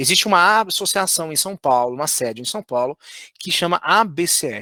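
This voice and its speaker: A man with a high pitch and a bright, sharp tone speaks at a fairly slow pace with lively intonation. The sound is dry and close, with no echo. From Brazil, Minas Gerais. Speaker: fundraising trainer. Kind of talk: online course lecture.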